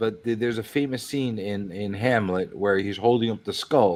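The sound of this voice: In a New York accent, a man talks at a moderate pace, his fairly low pitch held in fairly even intonation.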